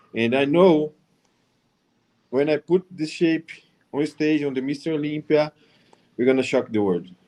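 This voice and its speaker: A man with a Brazilian accent speaks in a dark, mellow tone with ordinary pitch variation. He takes long, frequent pauses. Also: fairly high pitch for a man, moderate pace. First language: Portuguese. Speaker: professional bodybuilder. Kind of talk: panel discussion.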